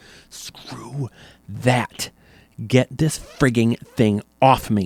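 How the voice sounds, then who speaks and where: Using a put-on character voice, a man speaks very slowly at a medium pitch with ordinary pitch variation and some hissing. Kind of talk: harsh whisper. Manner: hissing, angry.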